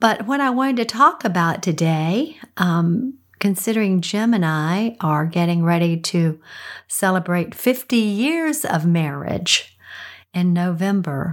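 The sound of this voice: A woman speaks slowly in a raspy, fairly low voice with lively intonation. The recording is very clean, with a silent background.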